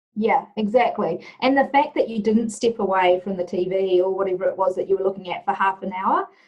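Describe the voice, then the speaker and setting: Speaking in a New Zealand accent, a woman with a medium pitch moves at a fairly quick pace with hardly any pauses and ordinary pitch variation. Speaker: leadership and culture trainer. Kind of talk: interview. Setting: video call.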